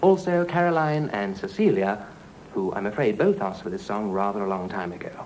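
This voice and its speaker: In a plain, everyday voice, a man speaks with fairly low pitch and lively intonation over light background noise. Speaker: radio presenter. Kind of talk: radio presenting, reading listener requests. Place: studio. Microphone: old recording.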